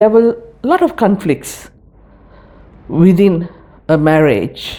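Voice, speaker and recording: This woman's voice has a dark, mellow tone. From Sri Lanka. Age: 70s. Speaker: migrant interviewee. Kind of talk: documentary interview. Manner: hesitant with fillers.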